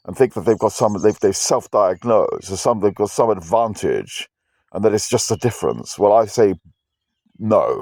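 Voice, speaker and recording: Recorded very cleanly against a silent background, with a dry, close sound and no echo, a man speaks at a moderate pace in a British accent. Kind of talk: personal rant to camera. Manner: aggressive-sounding, intense; halting, repetitive.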